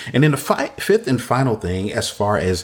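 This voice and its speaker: An unremarkable speaking voice moves at a moderate pace with lively intonation. The recording is very clean, and the background is silent. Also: man. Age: 50s. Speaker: church consultant podcast host. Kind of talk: solo podcast talk on church ministry. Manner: repetitive, restating phrases.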